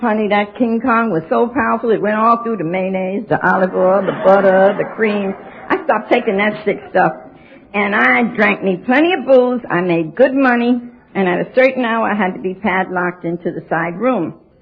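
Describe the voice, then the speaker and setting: A woman with an American accent at a medium pitch, ordinary pitch variation and a moderate pace, with noticeable background noise. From New York City. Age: 70s. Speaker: AA speaker. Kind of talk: recovery talk. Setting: stage with audience. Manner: animated.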